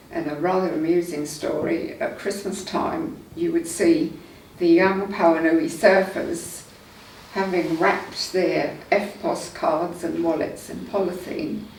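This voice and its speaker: A woman's fairly low voice at a very slow pace, fairly even in intonation, with noticeable background noise and audible room echo. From England, Surrey. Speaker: local resident sharing memories. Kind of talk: oral history interview. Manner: casual, with hesitations.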